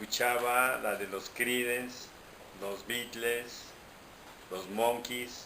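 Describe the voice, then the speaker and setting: A man speaks very slowly at medium pitch, with long, frequent pauses. His intonation is monotone and flat. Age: 60s. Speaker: interviewee. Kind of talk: interview.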